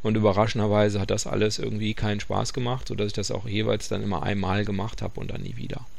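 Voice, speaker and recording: A man talks at a very fast pace with hardly any pauses, his pitch fairly low and his intonation monotone and flat. Room echo is audible. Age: 40s. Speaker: podcast host, hobby runner. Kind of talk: casual monologue. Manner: hesitant, many fillers.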